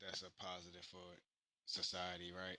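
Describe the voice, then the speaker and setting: A man with a very deep, low pitch and a bright, sharp tone speaks at a moderate pace. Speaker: investing podcaster. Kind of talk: casual unscripted update. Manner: halting, many fillers.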